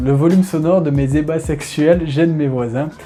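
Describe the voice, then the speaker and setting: A man's voice over background music. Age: 30s. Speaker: gaming youtuber. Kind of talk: Q&A reading viewer questions. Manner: halting.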